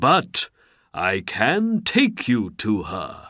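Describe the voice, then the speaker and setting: A man growls in a put-on character voice. The recording is very clean, with a silent background. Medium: read story. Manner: formal, ceremonious.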